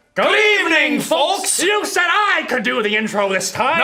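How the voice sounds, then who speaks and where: A man puts on a character voice at an extremely high pitch, with very wide pitch swings. He speaks at a moderate pace. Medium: comedy sketch. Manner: loud, excitable.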